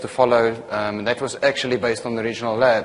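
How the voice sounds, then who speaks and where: A very fast man's voice with a South African accent and monotone, flat intonation, over noticeable background noise. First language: not English. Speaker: software technical consultant and trainer. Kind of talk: lecture. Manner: hesitant, many fillers.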